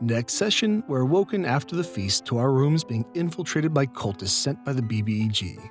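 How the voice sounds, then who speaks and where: Music plays behind a voice moving at a moderate pace. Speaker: storyteller narrator. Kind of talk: reddit tabletop horror story narration.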